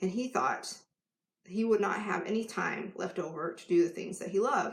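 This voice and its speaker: Her voice is somewhat breathy and medium in pitch. The woman's pitch variation is ordinary. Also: moderate pace. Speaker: life coach. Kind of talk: live stream talk to camera.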